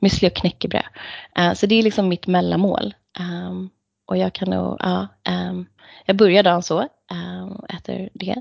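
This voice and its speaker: At a moderate pace, a woman talks with long, frequent pauses. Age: 30s. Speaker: elite runner and lawyer. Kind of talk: interview. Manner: animated.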